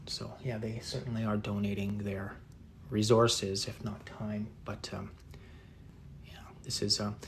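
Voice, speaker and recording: A man with a fairly low voice speaks at a fairly slow pace in a relaxed tone, with fairly even intonation, long and frequent pauses, and audible room echo. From northeast England. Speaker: artist. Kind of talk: live painting tutorial and chat. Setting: livestream. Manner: relaxed, many fillers.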